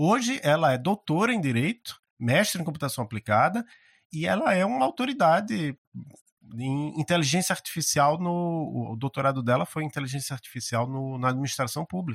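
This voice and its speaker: On a very clean recording with a silent background and a dry, close sound with no echo, a man with a fairly high pitch speaks at a moderate pace, somewhat breathy and with lively intonation. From Brazil, Maceió (Alagoas). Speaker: university professor. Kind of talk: interview conversation. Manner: halting, frequent word repetitions.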